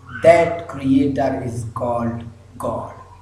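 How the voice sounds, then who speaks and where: A man speaks very slowly with ordinary pitch variation, with audible room echo and noticeable background noise. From Pakistan. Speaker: religious speaker. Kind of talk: lecture. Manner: halting, frequent fillers.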